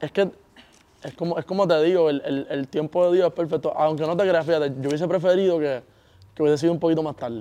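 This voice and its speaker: A man with a fairly high pitch and a dark, mellow tone speaks at a very fast pace with fairly even intonation. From Puerto Rico. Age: young. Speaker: reggaeton singer. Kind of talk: interview.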